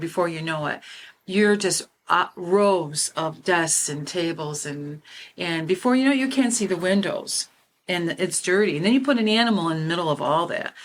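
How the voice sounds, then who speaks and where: A woman speaks in an ordinary speaking voice, pitched fairly low. Her pace is moderate. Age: 60s. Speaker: podcast host and animal law officer. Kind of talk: panel discussion.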